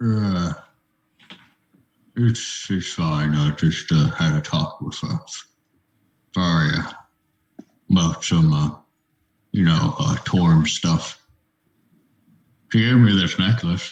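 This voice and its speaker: Using a put-on character voice, a man speaks very slowly at a very deep, low pitch with ordinary pitch variation and long, frequent pauses. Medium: actual play. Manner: hesitant, stammering.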